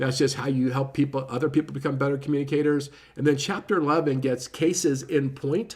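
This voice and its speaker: Somewhat breathy and fairly high in pitch, a man talks at a very fast pace with fairly even intonation. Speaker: book reviewer. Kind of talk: casual book review talk. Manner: lots of filler words.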